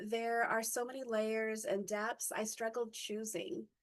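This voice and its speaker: This woman talks at a moderate pace with a fairly high pitch. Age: 50s. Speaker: conference speaker. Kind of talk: presentation talk. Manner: halting, many fillers.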